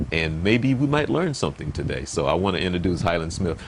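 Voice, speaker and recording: The man talks at a very fast pace. His pitch swings very widely. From US South. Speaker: pastor and interview show host. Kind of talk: interview. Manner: halting.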